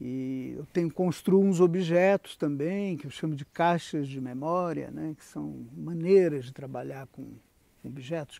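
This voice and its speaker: A man with a fairly high pitch and a dark, mellow tone speaks with ordinary pitch variation, the sound dry with no echo. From Rio de Janeiro, Brazil (Jacarepaguá); Rio de Janeiro. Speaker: visual artist and art educator. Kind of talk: interview testimony. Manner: reflective, with frequent hesitations and fillers. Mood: calm, reflective.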